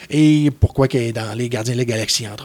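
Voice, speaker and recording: Speaking at a fairly quick pace with a Quebec accent, a man keeps his medium-pitched voice fairly even in intonation. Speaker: comic book columnist. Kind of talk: casual chat.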